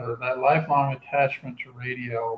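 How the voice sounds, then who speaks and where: A man with an American accent, an ordinary speaking voice, fairly even intonation and a moderate pace. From US Midwest, Kansas. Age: 60s. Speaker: true crime writer. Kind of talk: interview.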